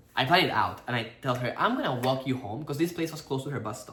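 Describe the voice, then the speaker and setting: A man with a fairly high pitch and a bright, sharp tone talks very fast with lively intonation in a room with audible echo. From Peru. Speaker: actor and couple vlogger. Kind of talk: casual storytelling chat.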